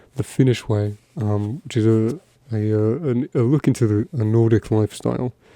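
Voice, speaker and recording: A soft-spoken man with a medium pitch and a dark, mellow tone, at a moderate pace with fairly even intonation, dry and close with no echo over a quiet background. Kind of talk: ASMR soft-spoken talk.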